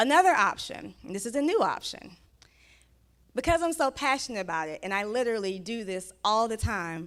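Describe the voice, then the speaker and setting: On a very clean recording with a silent background, a woman speaks. Her tone is animated and her pitch fairly high. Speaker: book writing coach, conference speaker. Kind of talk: conference talk with sales pitch and Q&A. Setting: stage with live audience. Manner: fast.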